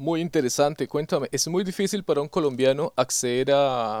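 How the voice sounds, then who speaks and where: In a dry, close sound with no echo, a man with an ordinary speaking voice talks at a moderate pace, his fairly high pitch showing ordinary variation. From Colombia, Yopal, Casanare (llanos region). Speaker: podcast host. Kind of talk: interview.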